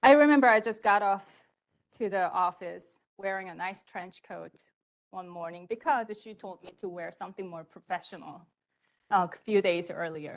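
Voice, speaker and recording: A woman talks at a moderate pace with a non-native accent. Her pitch sits in the middle range, and the background is quiet. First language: not English. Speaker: storyteller. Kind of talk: personal story performance. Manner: halting.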